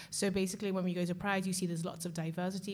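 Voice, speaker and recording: A somewhat breathy voice in a monotone, flat intonation. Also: woman. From Liverpool, England. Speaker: LGBTQI organization coordinator. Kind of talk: casual interview chat. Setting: in a bar.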